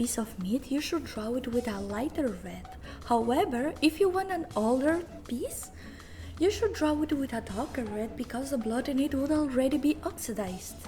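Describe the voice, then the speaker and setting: Music plays in the background while a woman speaks with a non-native accent. Her high voice has lively intonation. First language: not English. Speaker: art content creator. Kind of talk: drawing tutorial narration.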